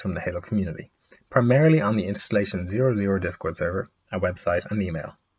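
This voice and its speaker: Somewhat breathy, a man with a fairly low pitch talks at a very fast pace. His intonation is lively. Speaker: gaming video creator. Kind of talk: explainer narration.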